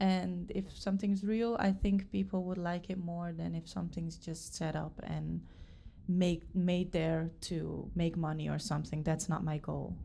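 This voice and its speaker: A woman speaks with a Dutch accent. Her pace is fairly slow. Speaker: dance school founder and teacher. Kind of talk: interview. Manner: hesitant, many fillers.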